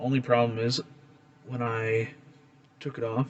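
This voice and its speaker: Through noticeable background noise, a man with a Canadian accent and medium pitch talks at a moderate pace with fairly even intonation. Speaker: flint knapping hobbyist, video creator. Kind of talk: casual tutorial / show-and-tell. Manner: casual, hesitant with many fillers. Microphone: recorded on a phone.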